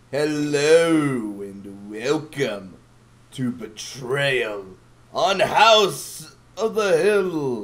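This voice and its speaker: A man puts on a character voice, speaking very slowly at a fairly high pitch. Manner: overly dramatic, clumsy.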